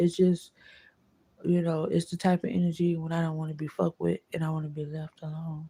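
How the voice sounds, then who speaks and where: Somewhat breathy, a woman with a fairly low pitch and a dark, mellow tone speaks at a fairly quick pace. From Florida. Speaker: vlogger. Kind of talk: casual monologue vlog.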